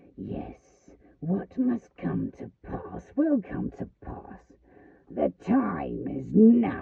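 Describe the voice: A man's put-on character voice, growling and hissing at a very slow pace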